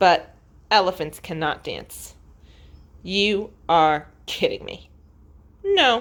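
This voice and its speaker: Using a put-on character voice, a woman speaks at a very slow pace with long, frequent pauses. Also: medium pitch for a woman. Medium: read story. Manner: slow, heavy, earnest.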